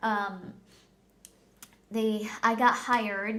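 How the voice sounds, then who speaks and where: With audible room echo, a woman speaks very slowly at a medium pitch. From Philippines. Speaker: vlogger. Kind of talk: personal storytelling vlog. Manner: hesitant, many fillers.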